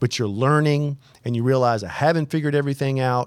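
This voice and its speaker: A man talks at a fairly quick pace in a medium pitch. His pitch variation is ordinary and he has an unremarkable speaking voice. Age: 40s. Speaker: podcast host, army veteran and entrepreneur. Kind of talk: casual chat.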